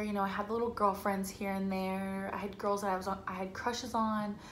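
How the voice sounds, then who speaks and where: The speaker has an American accent and an animated tone. Audible room echo and noticeable background noise are present. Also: woman. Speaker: YouTuber. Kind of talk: casual vlog storytelling.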